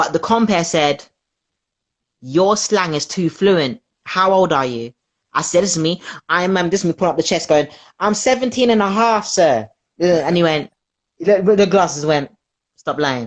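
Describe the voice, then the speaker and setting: In a South London accent, the speaker uses lively intonation and takes long, frequent pauses. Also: woman, fairly low pitch for a woman, moderate pace. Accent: South London, multicultural London English. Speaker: comedian. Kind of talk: casual interview chat.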